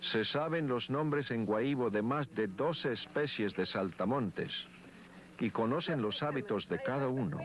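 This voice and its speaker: Here a man speaks at a fairly slow pace. His pitch is medium. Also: lively intonation. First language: Sikuani (Guahibo) (speaking Spanish). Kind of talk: documentary narration. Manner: formal.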